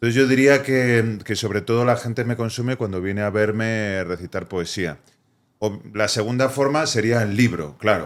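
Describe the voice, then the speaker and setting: This man has a normal speaking voice, fairly low in pitch, with ordinary pitch variation and a moderate pace. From Spain, Vigo. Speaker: poet, therapist, cultural activist. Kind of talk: podcast interview answer.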